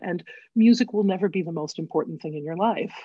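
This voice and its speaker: A woman with a normal speaking voice, fairly low in pitch, with an American accent, a fairly quick pace, and ordinary pitch variation. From US Midwest, Northfield, Minnesota. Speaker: collaborative pianist and vocal coach. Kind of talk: interview conversation.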